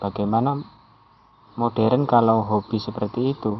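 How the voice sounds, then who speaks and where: A man talks at a moderate pace with fairly even intonation. His pitch sits fairly low. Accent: strong Javanese. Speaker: amateur writer. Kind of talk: personal monologue reading own writing.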